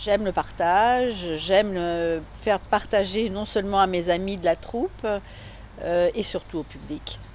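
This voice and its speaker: With an unremarkable speaking voice, a woman talks at a fairly slow pace in a medium pitch, her intonation fairly even. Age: 60s. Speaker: amateur actor. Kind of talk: interview.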